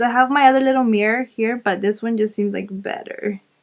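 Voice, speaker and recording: A woman with an American accent has a normal speaking voice and a fairly high pitch. She talks at a moderate pace with fairly even intonation. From Arizona, USA. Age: 20s. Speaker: beauty YouTuber. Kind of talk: makeup tutorial talk to camera.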